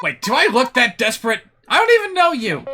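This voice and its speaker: A man performs a put-on character voice with an extremely high pitch. He moves at a fairly quick pace. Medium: game stream. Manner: brash, loud.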